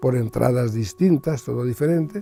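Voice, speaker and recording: A medium-pitched man's voice with lively intonation at a moderate pace, music in the background. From Spain, Valencian region (San Vicente, Alicante). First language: Valencian (speaking Spanish). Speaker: retired Greek teacher and politician. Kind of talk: personal testimony interview. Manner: halting, with repetitions and fillers.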